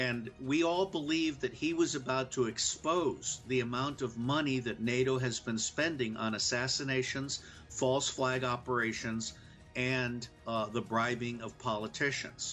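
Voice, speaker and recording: An American-accented man speaks at a fairly slow pace in a plain, everyday voice. His pitch sits in the medium range with ordinary variation. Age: 60s. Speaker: former intelligence officer. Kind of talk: political commentary.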